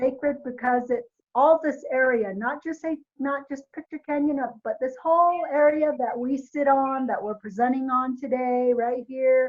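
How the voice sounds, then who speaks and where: With a Navajo Nation accent, a woman speaks in a high pitch with fairly even intonation at a moderate pace. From Navajo Nation, US Southwest. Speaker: volunteer trainer. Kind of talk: training presentation. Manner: hesitant, many fillers.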